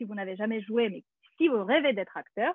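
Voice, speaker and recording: A woman with a Russian accent speaks with very wide pitch swings. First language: Russian (speaking French). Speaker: actress and acting teacher. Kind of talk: webinar presentation. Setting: video call. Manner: hesitant, many fillers.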